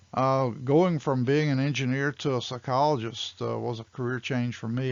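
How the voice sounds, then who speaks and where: A man at a moderate pace with an American accent and monotone, flat intonation. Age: 70s. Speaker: instructor and business trainer. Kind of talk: instructional webcast presentation.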